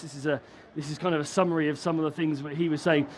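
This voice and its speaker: Here is a man with a British accent and a high pitch. His intonation stays fairly even. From UK. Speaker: broadcast technology vendor engineer. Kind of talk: conference presentation. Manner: hesitant, many fillers and restarts.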